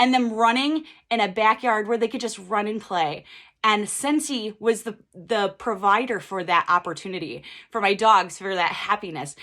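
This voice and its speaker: On a very clean recording against a silent background, this woman speaks in a bright, sharp tone. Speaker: direct sales team leader. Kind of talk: training talk. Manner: fast; casual, filler-heavy.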